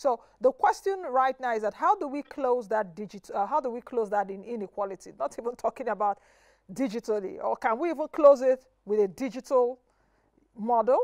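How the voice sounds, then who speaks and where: A woman speaks at a fairly quick pace with a high pitch and lively intonation. The sound is dry with no echo, over a quiet background. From Nigeria. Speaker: TV business show host. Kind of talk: TV interview. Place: studio.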